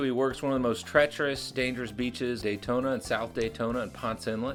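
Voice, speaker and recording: Music plays in the background as a man speaks at medium pitch and a fairly quick pace. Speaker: podcast host. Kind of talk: podcast intro.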